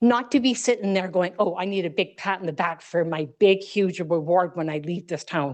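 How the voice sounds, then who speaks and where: A woman with a Western Canadian accent, medium pitch, ordinary pitch variation, a moderate pace and hardly any pauses. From Canada, British Columbia (Fernie). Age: 60s. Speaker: local resident speaking at public hearing. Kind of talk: public comment at council hearing. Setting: council chamber public hearing. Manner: animated, indignant.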